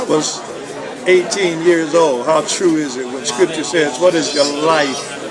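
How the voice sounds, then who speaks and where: A man with a high voice talks in a room with audible echo while a crowd murmurs in the background. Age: 60s. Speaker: retired pastor and book editor. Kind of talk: personal video message. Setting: restaurant.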